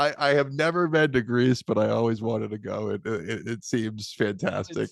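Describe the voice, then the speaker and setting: A plain, everyday voice: a man at medium pitch, with ordinary pitch variation and a moderate pace. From New Hampshire, US. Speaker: podcast host. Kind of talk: casual chat.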